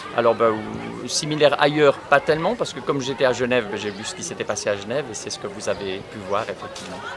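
With music in the background, a man talks at medium pitch, his pitch varying in an ordinary way. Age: 60s. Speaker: teacher. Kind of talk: interview. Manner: halting.

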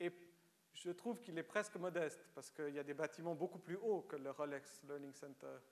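A man speaks at a fairly quick pace with a Romanian accent. His pitch is fairly high. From Switzerland, Lausanne (Vaud), born in Romania. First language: Romanian (speaking French). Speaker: writer. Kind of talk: public lecture.

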